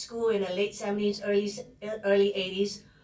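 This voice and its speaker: A woman with a Fujianese accent and a medium pitch. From Singapore. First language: Hokkien. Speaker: psychology instructor. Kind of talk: lecture. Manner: hesitant, with fillers.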